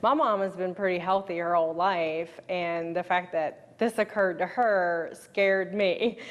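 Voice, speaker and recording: In a plain, everyday voice, a woman speaks at a moderate pace and medium pitch with fairly even intonation over a quiet background. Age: 40s. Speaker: interviewee sharing health story. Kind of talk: interview testimony.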